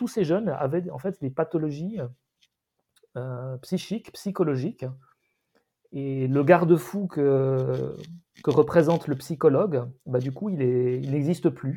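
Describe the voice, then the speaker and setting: Speaking very slowly with long, frequent pauses, a man with a fairly high, somewhat breathy voice and a dark, mellow tone shows ordinary pitch variation and big swings in loudness. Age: 50s. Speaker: podcast co-host. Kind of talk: casual discussion. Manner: halting.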